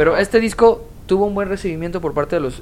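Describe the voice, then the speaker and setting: Over noticeable background noise, a woman with a Mexican accent speaks in an animated tone at a fairly low pitch. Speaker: podcast co-host. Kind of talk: casual chat.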